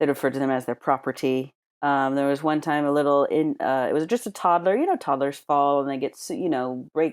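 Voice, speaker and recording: A woman with an American accent and a very deep, low pitch speaks fairly quickly with hardly any pauses on a very clean recording with a silent background. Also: ordinary pitch variation. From United States. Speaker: ER and trauma nurse. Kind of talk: interview storytelling.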